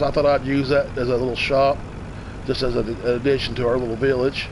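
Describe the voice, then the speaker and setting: Amid noticeable background noise, a man speaks very fast at a fairly high pitch. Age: 50s. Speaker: gaming streamer. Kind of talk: live stream game commentary. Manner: casual, halting with repetitions.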